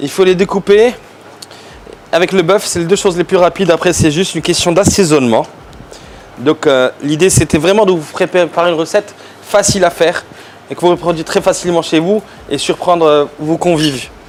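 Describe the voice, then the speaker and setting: Amid noticeable background noise, a high-pitched man speaks at a fairly quick pace with ordinary pitch variation and long, frequent pauses. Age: 40s. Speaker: chef. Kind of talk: cooking tutorial. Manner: hesitant, many fillers.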